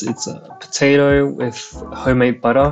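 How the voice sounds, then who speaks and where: Moderate pace over music in the background. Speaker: food vlogger. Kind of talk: commentary.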